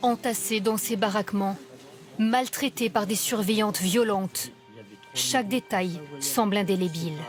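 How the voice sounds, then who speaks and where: Music plays in the background while the speaker goes at a fairly slow pace. Pitch variation is ordinary, and loudness stays very even. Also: woman, medium pitch for a woman. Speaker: TV news reporter. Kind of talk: TV news report narration.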